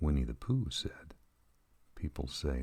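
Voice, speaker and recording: Soft-spoken and gentle in tone, a man with a very deep, low pitch and vocal fry talks at a fairly slow pace. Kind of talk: soft-spoken ASMR reading of inspirational quotes. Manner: soft-spoken, gentle, calming.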